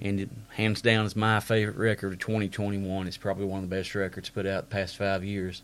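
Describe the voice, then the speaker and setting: A man with an Appalachian accent speaks at a fairly quick pace in a fairly low pitch and a monotone, flat intonation, on a very clean recording with a silent background. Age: 30s. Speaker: podcast host. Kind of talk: casual monologue.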